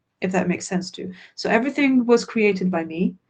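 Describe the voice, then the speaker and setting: A woman rushes along at a very fast pace, her voice somewhat breathy. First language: Croatian. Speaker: language course founder. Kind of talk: webinar Q&A.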